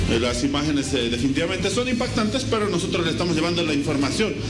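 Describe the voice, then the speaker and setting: The speech moves at a very fast pace with clear music in the background. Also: man. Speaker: field reporter. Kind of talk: live news report. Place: street. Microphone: handheld.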